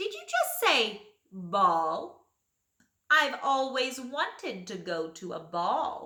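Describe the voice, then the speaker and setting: In a put-on character voice, a female-sounding speaker with a high pitch moves at a very slow pace through very wide pitch swings. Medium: read story.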